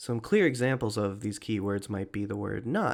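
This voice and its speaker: A man with a plain, everyday voice talks at a fairly slow pace, his pitch medium with ordinary variation. The recording is very clean, with a silent background. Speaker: test prep tutor. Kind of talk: tutorial.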